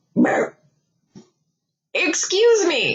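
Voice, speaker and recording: A put-on character voice from a female-sounding speaker, pitched extremely high for a woman. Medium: read story. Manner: calm, cool.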